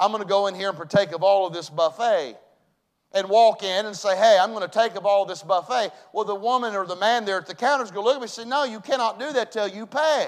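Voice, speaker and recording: Talking at a fairly quick pace, a man with a Southern US accent speaks at a high pitch with ordinary pitch variation. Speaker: pastor. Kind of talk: sermon. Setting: church. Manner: loud.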